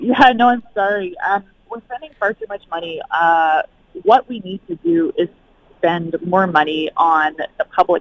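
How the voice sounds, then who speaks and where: A woman speaks at a moderate pace in a plain, everyday voice, her fairly low pitch carried by lively intonation. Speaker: emergency physician and climate health researcher. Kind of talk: interview. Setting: phone call.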